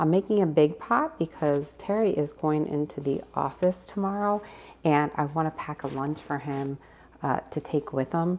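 Soft-spoken delivery at a moderate pace, with ordinary pitch variation. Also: woman, very deep, low pitch for a woman. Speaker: cooking vlogger. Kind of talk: casual vlog. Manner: animated. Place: kitchen. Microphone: phone near.

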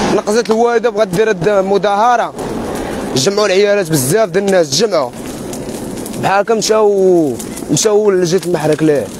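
A man talks at a high pitch with ordinary pitch variation and very even loudness. Long, frequent pauses break up his speech, and the dry, echo-free sound carries noticeable background noise. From Morocco. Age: young. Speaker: homeless young resident. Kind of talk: street interview testimony. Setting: outdoors, live stream. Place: open country.

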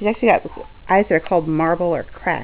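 A woman's fairly low-pitched voice with ordinary pitch variation. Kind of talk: casual pet video narration. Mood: warm, affectionate. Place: home room. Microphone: phone near.

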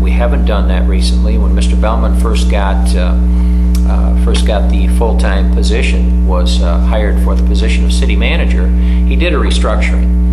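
A man is speaking. Music plays in the background. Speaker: candidate. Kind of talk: debate answer. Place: meeting room.

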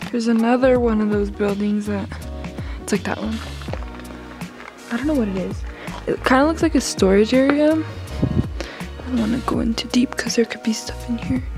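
Over clear background music, a woman talks at a moderate pace with long, frequent pauses, her voice dry with no echo. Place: open country. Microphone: phone near.

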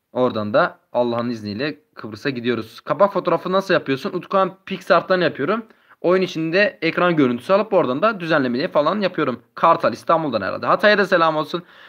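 A man's high-pitched voice runs at a fairly quick pace with lively intonation. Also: hardly any pauses. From Turkey, Adıyaman. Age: 20s. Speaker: gaming YouTuber. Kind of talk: live stream chat with viewers. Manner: casual, reading chat aloud.

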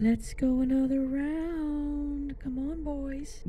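A put-on character voice, high in pitch and very slow, with clear background noise. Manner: cheerful, playful.

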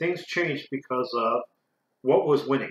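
A man at a moderate pace, with audible room echo. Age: 40s. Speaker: karate instructor and video creator; martial arts instructor. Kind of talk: educational talk to camera; lecture. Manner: halting.

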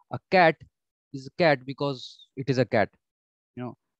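The background is quiet. The sound is dry, with no echo. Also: man. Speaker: exam prep teacher. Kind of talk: lecture. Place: home room. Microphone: webcam.

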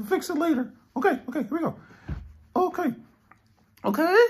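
A cartoonish character voice is pitched high. It moves at a fairly quick pace. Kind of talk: comic improv overacting. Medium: puppet show. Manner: playful, excitable, a bit vain.

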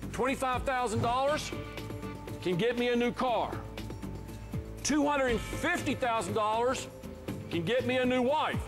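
Against clear music in the background, a man with an extremely high pitch talks at a moderate pace, with ordinary pitch variation and long, frequent pauses. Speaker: motivational speaker. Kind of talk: game show contestant talk. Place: stage. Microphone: lapel.

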